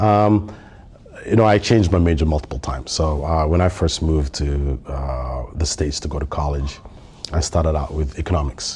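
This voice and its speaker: Over noticeable background noise, a man with a Somali accent and a very deep, low pitch talks at a fairly quick pace with ordinary pitch variation. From Somalia, raised across East Africa and Nigeria. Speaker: tech industry manager. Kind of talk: podcast interview. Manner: hesitant, many fillers and repetitions.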